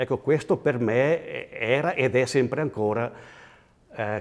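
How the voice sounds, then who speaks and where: This man speaks very slowly. His pitch is medium, with ordinary variation. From Switzerland, Graubünden, Val Poschiavo (Italian-speaking). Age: 60s. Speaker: interviewee in regional portrait. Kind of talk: personal reminiscence interview. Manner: halting, with fillers and repetitions.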